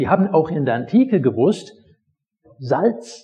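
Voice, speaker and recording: A man is speaking. His pitch swings very widely. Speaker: pastor. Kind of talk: sermon, teaching the congregation with a personal anecdote. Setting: church. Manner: conversational, storytelling, explaining the text step by step.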